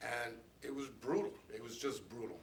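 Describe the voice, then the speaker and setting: A man speaks at a moderate pace. His voice carries audible room echo. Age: 60s. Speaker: abuse survivor. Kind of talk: testimony. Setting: press conference.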